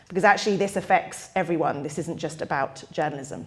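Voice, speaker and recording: Speaking at a very fast pace with lively intonation, a woman talks in an American accent. Noticeable background noise runs under her voice. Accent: British, noticeable to US audience. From United Kingdom. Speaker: disinformation researcher. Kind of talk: public lecture.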